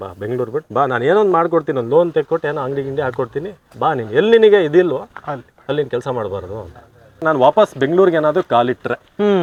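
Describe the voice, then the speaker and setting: His pitch is fairly high. This man's voice rises and falls across a very wide range. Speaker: former TV news anchor and voice-over artist. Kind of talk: casual interview.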